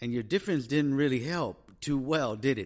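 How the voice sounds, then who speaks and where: A plain, everyday voice talks at a moderate pace. The recording is very clean, with a silent background. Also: man. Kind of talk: casual chat.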